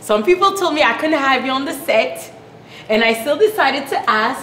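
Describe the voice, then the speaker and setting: Amid noticeable background noise and audible room echo, a woman speaks in a high pitch with very wide pitch swings. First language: French. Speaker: talk show host. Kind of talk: interview. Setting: studio set.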